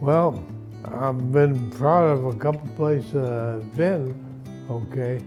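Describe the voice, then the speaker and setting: Over music in the background, a man with a medium pitch and ordinary pitch variation speaks at a very slow pace. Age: 80s+. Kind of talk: interview answer.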